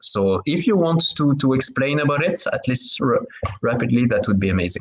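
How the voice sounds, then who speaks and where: Speaking with a French accent at a moderate pace, a man swings very widely in pitch while keeping his loudness very even. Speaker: podcast host. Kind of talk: interview conversation. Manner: halting.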